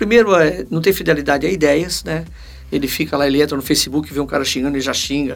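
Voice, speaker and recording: Pitched fairly high, a man talks at a very fast pace with ordinary pitch variation. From Paraná, Brazil. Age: 60s. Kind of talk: casual interview.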